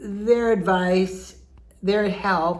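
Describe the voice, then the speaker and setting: A woman speaks in a monotone, with flat intonation. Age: 70s. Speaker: home decorator and real estate agent. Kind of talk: casual talk to camera.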